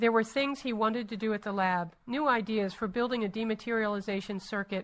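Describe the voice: What you hear is plain reading aloud.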